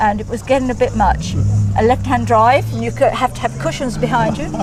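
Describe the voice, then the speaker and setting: A woman with an English accent talks at a fairly quick pace. Music plays in the background, and room echo is audible. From England. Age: 70s. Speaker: classic car owner. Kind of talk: casual interview. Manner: halting.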